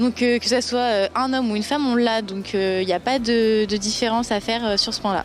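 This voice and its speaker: At a fairly quick pace with hardly any pauses, the speech keeps very even loudness and fairly even intonation over noticeable background noise. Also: woman, fairly high pitch for a woman. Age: young. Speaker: amateur powerboat racer, university student. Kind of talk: interview.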